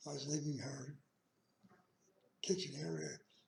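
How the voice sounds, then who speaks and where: Using vocal fry, a man speaks at a fairly high pitch and a fairly slow pace. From Utah, Ogden. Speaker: elderly man telling life story. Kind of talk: oral life history. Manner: halting.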